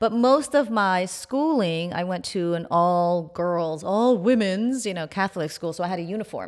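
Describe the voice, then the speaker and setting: In a very clean recording with a silent background, a woman with an American accent speaks at medium pitch. Hers is an unremarkable speaking voice with lively intonation. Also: moderate pace. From New York, Haitian family. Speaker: plastic surgeon and beauty podcast host. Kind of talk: interview.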